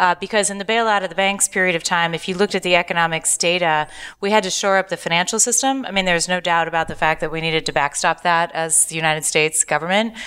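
Very fast speech from a woman in an American accent, bright and sharp in tone. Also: fairly low pitch for a woman, ordinary pitch variation, hardly any pauses. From US Pacific Northwest (Seattle), raised partly in Asia. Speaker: author and university lecturer. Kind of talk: interview before live audience. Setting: live podcast with audience in San Francisco.

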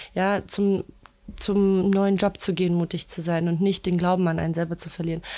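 A woman speaks with a dark, mellow tone at a fairly low pitch. Her intonation is monotone and flat. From Germany, Berlin. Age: 20s. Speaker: founder of a women's network. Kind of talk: interview.

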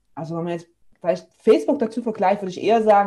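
The voice is somewhat breathy with a dark, mellow tone and lively intonation over a quiet background. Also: woman. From eastern Germany, near Leipzig. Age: 30s. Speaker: physiotherapist and online entrepreneur. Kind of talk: casual interview.

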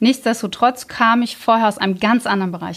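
At a fairly quick pace, a woman with an unremarkable speaking voice talks with fairly even intonation. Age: 30s. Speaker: team manager. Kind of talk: casual interview.

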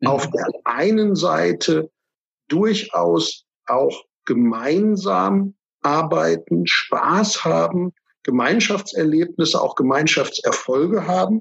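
A man speaks at a very slow pace. His loudness stays very even. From Germany. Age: 40s. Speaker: financial advisor. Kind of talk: interview.

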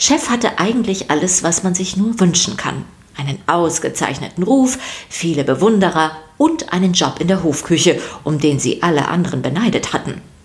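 A woman speaks with lively intonation, a fairly low pitch, and few pauses. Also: moderate pace.

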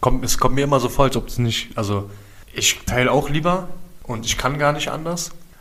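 There is audible room echo and noticeable background noise. The speech has a moderate pace and ordinary pitch variation. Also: man, fairly high pitch for a man. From Berlin, Germany (Wedding, then East Berlin). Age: 30s. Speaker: prevention project worker. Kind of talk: casual chat.

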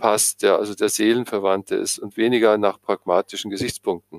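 Here is a man with a normal speaking voice, moderate pace and fairly even intonation. The recording is very clean, with a silent background and a dry, close sound with no echo. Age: 60s. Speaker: psychotherapist. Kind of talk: interview.

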